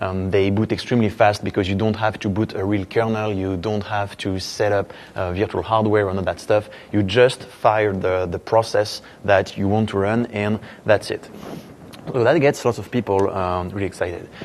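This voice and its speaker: Speaking with a strong French accent, a man keeps a fairly low pitch and monotone, flat intonation at a moderate pace. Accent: French, thick. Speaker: software engineer, conference speaker. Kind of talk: conference talk. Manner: hesitant, many fillers.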